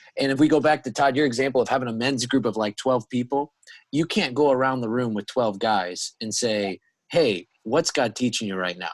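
Speaking at a fairly quick pace, a man uses an ordinary speaking voice at a medium pitch with ordinary pitch variation, recorded dry and close with no echo against a quiet background. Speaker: podcast host and church staff. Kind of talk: casual interview chat.

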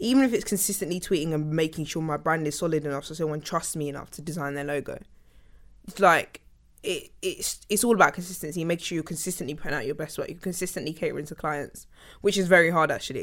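In a London accent, a woman with a fairly low voice speaks very fast, with ordinary pitch variation and big swings in loudness, on a very clean recording with a silent background. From South London, England. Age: 20s. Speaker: interdisciplinary designer. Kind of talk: interview.

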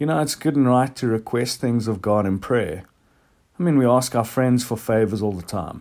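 A man with a normal speaking voice talks at a moderate pace and medium pitch, with ordinary pitch variation, in a very clean recording with a silent background. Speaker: church devotional speaker. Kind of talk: devotional talk ending in prayer. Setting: recorded podcast. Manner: earnest, reflective; fervent, sincere.

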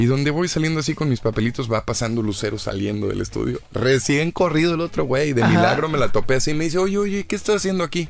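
This man's fairly high voice races along at a very fast clip, his intonation lively, with noticeable noise in the background. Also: hardly any pauses. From Mexico, Monterrey. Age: 20s. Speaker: actor and TV presenter. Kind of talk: interview.

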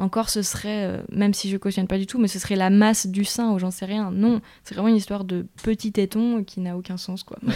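A woman's dark, mellow, medium-pitched voice, flat and monotone, at a moderate pace in a very clean recording with a silent background. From Belgium, Brussels. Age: 20s. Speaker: photographer and director. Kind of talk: interview. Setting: at her home.

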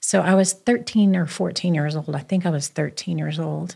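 A woman's fairly low voice with vocal fry and fairly even intonation. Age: 50s. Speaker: businesswoman and spiritual leader. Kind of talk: casual chat.

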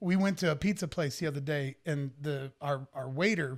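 Recorded very cleanly against a silent background, a man with a fairly high pitch uses a normal speaking voice with ordinary pitch variation. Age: 50s. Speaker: rock singer. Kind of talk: casual chat.

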